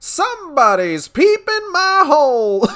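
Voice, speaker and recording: This put-on character voice is extremely high and swings very widely in pitch. It moves at a fairly slow pace. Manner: cheerful, canned phrase.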